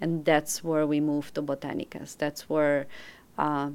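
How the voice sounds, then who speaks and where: A woman's very deep, low voice at a very slow pace, on a very clean recording with a silent background. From Belgium. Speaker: ethnobotanist. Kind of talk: interview.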